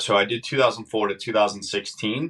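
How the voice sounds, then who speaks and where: A man talks at a fairly quick pace. He has a slight northern US accent. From Massachusetts. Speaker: former sheriff's deputy and candidate for sheriff. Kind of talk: podcast interview.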